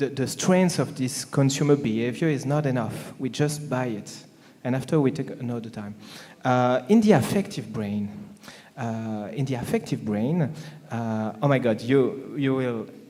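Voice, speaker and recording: With a French accent, a man talks at a moderate pace and medium pitch, showing ordinary pitch variation amid audible room echo. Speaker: panelist, marketing speaker. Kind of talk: panel discussion. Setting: conference stage with audience. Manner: halting, many fillers.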